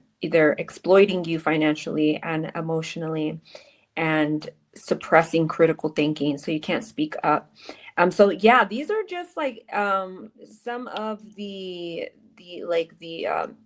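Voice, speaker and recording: Speaking in a plain, everyday voice, a woman talks at a fairly slow pace with a fairly low pitch and big swings in loudness. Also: ordinary pitch variation. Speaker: podcast host. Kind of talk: interview podcast.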